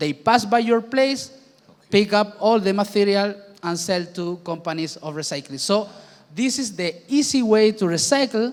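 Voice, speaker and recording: Someone with a Spanish accent speaks with lively intonation against noticeable background noise. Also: man, high pitch for a man, moderate pace. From Chile. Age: 20s. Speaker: startup founder. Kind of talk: panel presentation.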